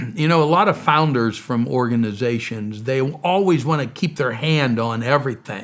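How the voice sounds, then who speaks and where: With an ordinary speaking voice, the speaker keeps a moderate pace and lively intonation with hardly any pauses. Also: man, medium pitch for a man. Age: 60s. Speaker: missionary and charity founder. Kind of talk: interview.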